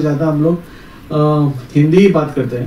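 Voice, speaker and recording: A man speaks in a monotone, flat intonation. Noticeable background noise and audible room echo fill the recording. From Goa. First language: Konkani (speaking Marathi). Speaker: speaker at event. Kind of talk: speech.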